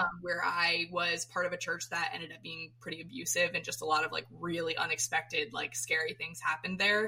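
In an American accent, a woman uses an ordinary speaking voice with ordinary pitch variation at a fairly quick pace. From Florida, US. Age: 20s. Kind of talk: casual chat. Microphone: poor audio quality.

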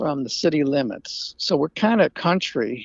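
With a Southern US accent, a man talks at a fairly slow pace, his pitch swinging very widely. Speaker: author, trailer park manager. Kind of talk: interview. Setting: remote call from outdoor hot tub. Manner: laid back.

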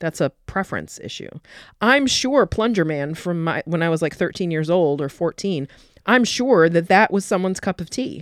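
This woman has an ordinary speaking voice, fairly low in pitch, with lively intonation at a moderate pace, and the very clean recording has a silent background and a dry, close sound with no echo. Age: 40s. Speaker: clinical sexologist and podcast host. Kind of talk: casual chat.

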